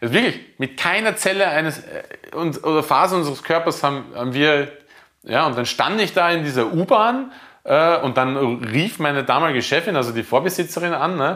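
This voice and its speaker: Speaking at a moderate pace, a man has a fairly high pitch and a bright, sharp tone. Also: lively intonation. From Lower Austria, near Hungarian border. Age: 30s. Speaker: chef. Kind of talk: casual chat. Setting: home kitchen. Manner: halting.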